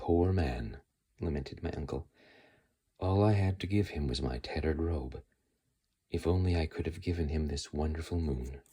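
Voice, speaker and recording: A dark, mellow, somewhat breathy tone at a moderate pace, broken by long, frequent pauses. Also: man, very deep, low pitch for a man, ordinary pitch variation. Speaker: ASMR creator. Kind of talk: whispered ASMR book reading. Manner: whispered, soft, calm.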